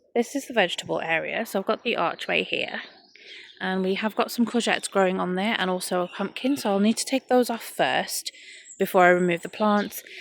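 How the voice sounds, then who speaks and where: A woman talks at a fairly quick pace with an English accent. Her pitch is medium, with ordinary variation. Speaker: gardening vlogger. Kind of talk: scripted narration. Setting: home recording at night.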